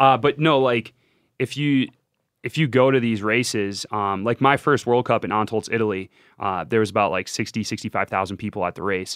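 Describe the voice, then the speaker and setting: Over a quiet background comes an unremarkable speaking voice at a fairly quick pace. Its pitch varies in an ordinary way. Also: man, medium pitch for a man. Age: 20s. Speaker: Olympic biathlete. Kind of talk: casual chat.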